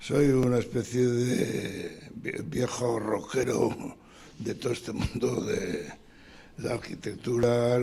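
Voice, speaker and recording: A man's medium-pitched voice at a very slow pace, with fairly even intonation and noticeable background noise. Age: 80s+. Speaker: retired architect, audience member. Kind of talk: seminar discussion. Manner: halting.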